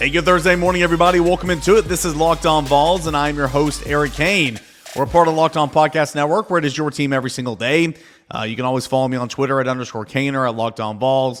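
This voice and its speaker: A fairly high male voice at a very fast pace, with ordinary pitch variation and music in the background. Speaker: sports podcast host. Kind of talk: sports podcast monologue. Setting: on location in Orlando.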